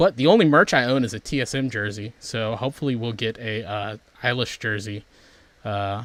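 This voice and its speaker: On a very clean recording with a silent background, a man with an unremarkable speaking voice talks at a fairly quick pace in a fairly low pitch, his intonation fairly even. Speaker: stream host. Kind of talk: casual chat. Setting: livestream.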